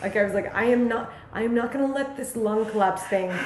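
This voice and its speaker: A woman's fairly high, fairly evenly intoned voice, with audible room echo and noticeable background noise. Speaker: musician. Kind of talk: casual interview chat. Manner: halting, many fillers and restarts.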